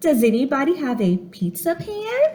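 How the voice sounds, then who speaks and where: A woman's put-on character voice, high in pitch, with very wide pitch swings at a moderate pace. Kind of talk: bedtime story. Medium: read story. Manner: brisk, self-reliant.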